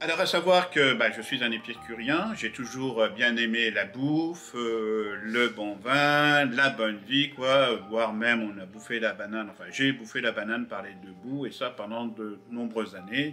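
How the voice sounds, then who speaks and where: Speaking with an unremarkable speaking voice, a man keeps a medium pitch and ordinary pitch variation. His pace is fairly slow with hardly any pauses, and his loudness swings widely. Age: 60s. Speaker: vlogger documenting a fast with his wife. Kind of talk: casual video introduction, partly read from notes.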